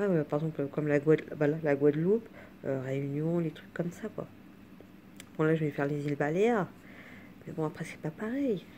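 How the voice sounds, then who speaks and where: Pausing long and often, a woman talks in a very deep, low voice with a dark, mellow tone and ordinary pitch variation. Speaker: vlogger. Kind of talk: casual monologue vlog. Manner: halting, many hesitations; fast.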